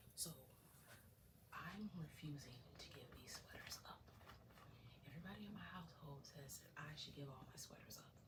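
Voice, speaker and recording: Whispering broken by long, frequent pauses. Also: woman, moderate pace. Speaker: ASMR creator. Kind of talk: ASMR show-and-tell talk to camera. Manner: whispered.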